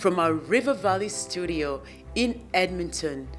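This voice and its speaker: Music sits in the background as the talking proceeds at a fairly slow pace. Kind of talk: news broadcast intro.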